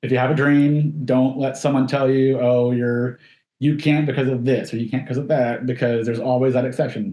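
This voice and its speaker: With a dark, mellow tone and a medium pitch, the man talks at a fairly quick pace. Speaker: stunt performer. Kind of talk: casual interview chat. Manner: fast-talking.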